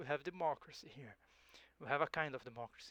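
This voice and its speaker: A man with a Portuguese accent and a bright, sharp tone. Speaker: gaming YouTuber. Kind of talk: gameplay commentary. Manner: halting, frequent self-repetition; casual, reads game text aloud and reacts.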